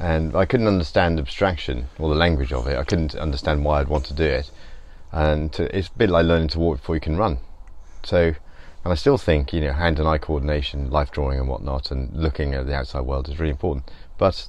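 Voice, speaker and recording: With a very deep, low pitch and ordinary pitch variation, a man talks at a very fast pace in a dry sound with no echo. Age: 50s. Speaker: painter. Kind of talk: casual chat. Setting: studio. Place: workshop.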